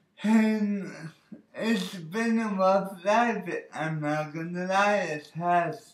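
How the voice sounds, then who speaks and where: With audible room echo, a man speaks at a high pitch and a very slow pace, his intonation fairly even. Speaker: vlogger sharing personal story. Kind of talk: personal testimony vlog. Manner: casual, hesitant with fillers.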